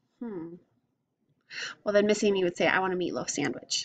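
A woman's pitch varies in an ordinary way, and the background is quiet. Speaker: teacher. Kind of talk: reading a social story and explaining it to young children. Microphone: webcam.

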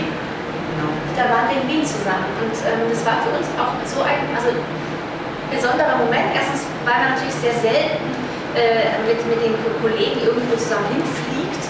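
Moderate-paced speech amid loud background noise and audible room echo. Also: woman. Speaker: voice actor (dubbing). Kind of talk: interview answer. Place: meeting room. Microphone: camera far.

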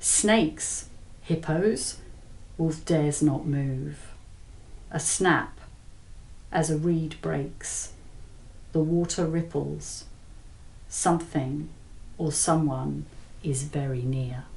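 A woman speaks very slowly, with long, frequent pauses and fairly even intonation. Her very deep, low voice carries vocal fry. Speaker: author reading from own novel. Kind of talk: audiobook-style thriller reading. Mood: tense suspenseful narration. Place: home room.

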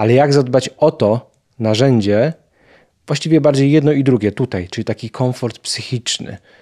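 A man with a fairly high voice and a dark, mellow tone speaks with lively intonation. The background is quiet. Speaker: podcast host. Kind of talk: interview. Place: studio. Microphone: studio mic.

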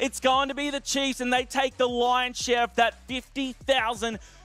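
This man speaks at an extremely high pitch and a fairly slow pace. The sound is dry with no echo, with faint music behind him. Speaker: esports host and commentator. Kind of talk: esports broadcast commentary.

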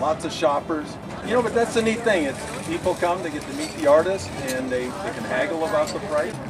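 A man speaks fairly quickly through loud background noise. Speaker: roving interviewer. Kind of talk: interview questions and casual commentary. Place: market.

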